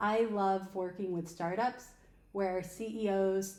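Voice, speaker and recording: Room echo is audible around a woman at medium pitch with an American accent. Her intonation is fairly even. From upstate New York, Albany area. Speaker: podcast co-host and recruiter. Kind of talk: casual podcast conversation.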